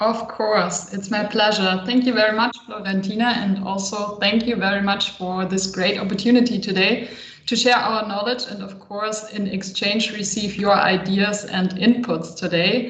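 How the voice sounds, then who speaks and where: A woman at medium pitch speaks in a monotone, flat way at a moderate pace with hardly any pauses. Audible room echo and noticeable background noise fill the clip. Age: 30s. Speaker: consultant and psychologist. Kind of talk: online workshop.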